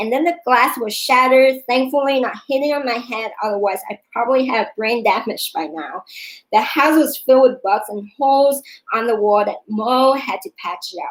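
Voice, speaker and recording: A woman with a non-native accent talks at a moderate pace in a high voice. Her intonation is lively and her loudness swings widely. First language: not English. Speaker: yoga instructor and vlogger. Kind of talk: personal storytelling vlog. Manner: hesitant.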